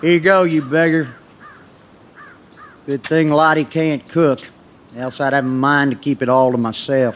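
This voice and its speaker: Using a gruff, put-on character voice, a man talks at a fairly high pitch and a moderate pace. His intonation is fairly even, with long, frequent pauses. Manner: gruff, suspicious, dark and moody.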